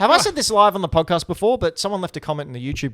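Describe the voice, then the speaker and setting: In a very clean recording with a silent background, a man with an Australian accent speaks at a very fast pace with lively intonation. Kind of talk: casual podcast talk.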